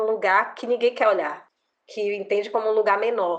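A woman with a plain, everyday voice speaks at a moderate pace with fairly even intonation. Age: 40s. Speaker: lawyer. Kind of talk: interview.

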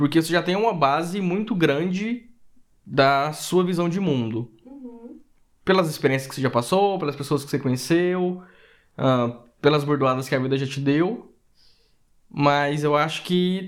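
Speaking in a plain, everyday voice, a man with a fairly high pitch moves at a fairly slow pace with lively intonation. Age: 30s. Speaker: podcast co-host. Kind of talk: casual chat.

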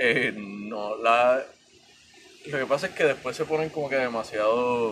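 A man talks at a fairly slow pace over noticeable background noise. His medium pitch shows ordinary variation. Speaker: podcast guest, comic fan. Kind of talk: casual chat. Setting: outdoors in abandoned treehouse.

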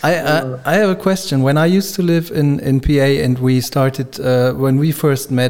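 With music in the background, a man talks in a fairly high voice. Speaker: podcast host. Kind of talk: casual chat.

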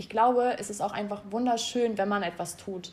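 A woman talks at a fairly high pitch, somewhat breathy. Her pace is moderate and her intonation fairly even. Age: 20s. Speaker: podcast co-host, interior design student. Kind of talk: casual chat. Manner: hesitant, many fillers.

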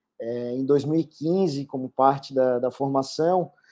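A man's voice at a medium pitch. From Florianópolis, Santa Catarina, Brazil. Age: 30s. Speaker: sports lawyer, football club vice-presidential candidate. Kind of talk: interview.

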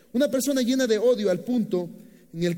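An extremely high male voice with a dark, mellow tone, lively intonation and audible room echo. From Nicaragua. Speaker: pastor. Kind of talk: sermon.

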